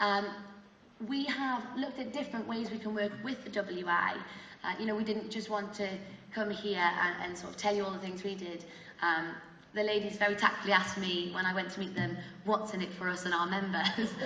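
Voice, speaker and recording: A woman's fairly quick, fairly even-toned speech, with audible room echo and noticeable background noise. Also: medium pitch for a woman. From northern England, Newcastle. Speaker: adult education service representative. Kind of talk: public talk.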